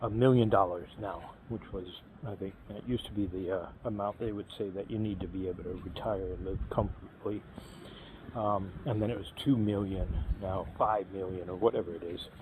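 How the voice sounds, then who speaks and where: A man speaks at a moderate pace in a fairly low, somewhat breathy voice with fairly even intonation. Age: 50s. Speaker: YouTuber vlogging about retirement. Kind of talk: casual walking vlog monologue. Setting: outdoors on a walk. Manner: hesitant, many fillers.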